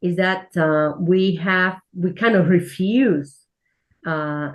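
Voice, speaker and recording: The speaker talks in a Spanish accent with fairly even intonation. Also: woman. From Spain. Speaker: church minister. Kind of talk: interview. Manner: halting.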